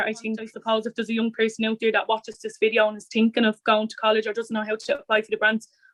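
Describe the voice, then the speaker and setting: A woman speaks with a Dublin accent in a fairly high voice. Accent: Dublin inner-city Irish. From Ireland, Dublin north inner city. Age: 20s. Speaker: youth and community worker. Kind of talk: interview monologue.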